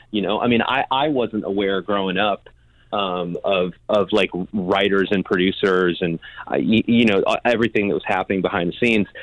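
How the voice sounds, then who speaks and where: A man with an American accent and an unremarkable speaking voice talks at a fairly low pitch and moderate pace, with fairly even intonation. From US Midwest, Chicago. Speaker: songwriter and producer. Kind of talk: interview, casual chat.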